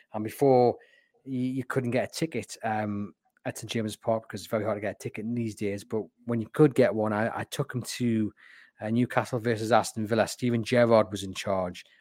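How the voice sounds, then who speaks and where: In a Geordie accent, a man talks at a fairly quick pace with medium pitch and fairly even intonation, recorded very cleanly with a silent background and a dry, close sound with no echo. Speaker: football podcast host. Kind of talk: casual chat.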